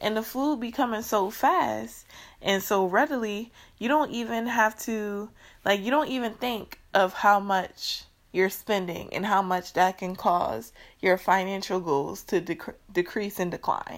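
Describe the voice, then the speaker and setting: A woman's animated, medium-pitched voice at a fairly slow pace, ordinary pitch variation, on a very clean recording with a silent background. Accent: New Orleans. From US South, New Orleans, Louisiana. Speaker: podcast host. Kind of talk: casual solo podcast monologue. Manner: animated, frequent laughter.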